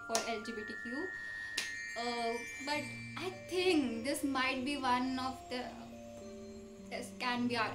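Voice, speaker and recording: Behind a woman's very slow speech, clear music can be heard in the background. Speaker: reaction vlogger. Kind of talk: casual reaction chat. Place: home room. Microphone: webcam.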